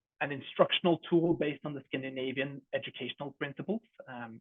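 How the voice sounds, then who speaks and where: With a Norwegian accent, a man speaks at a fairly quick pace in a fairly high pitch, his intonation fairly even. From Norway. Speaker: edtech company co-founder. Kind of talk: product presentation.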